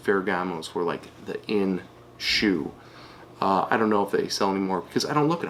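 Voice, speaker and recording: An unremarkable speaking voice from a man, moving at a fairly quick pace. His intonation is lively. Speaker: online reseller. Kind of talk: tutorial. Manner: casual.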